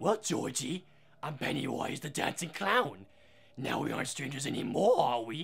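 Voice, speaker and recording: A man does a put-on character voice at a fairly high pitch and a moderate pace. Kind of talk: quoting a movie line in a character voice during a review. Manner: creepy, menacing.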